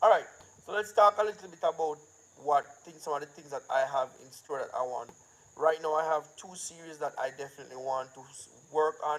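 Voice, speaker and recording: Man with a Jamaican accent at a fairly quick pace, fairly high in pitch, with ordinary pitch variation and big swings in loudness. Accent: Jamaican, patois-inflected. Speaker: filmmaker and channel owner. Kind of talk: casual live-stream talk.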